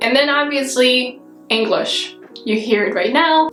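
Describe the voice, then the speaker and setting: Noticeable background noise surrounds a woman speaking with a Russian accent. Audible room echo is present. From Kazakhstan. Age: 20s. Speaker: lifestyle vlogger. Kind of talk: casual vlog talk to camera.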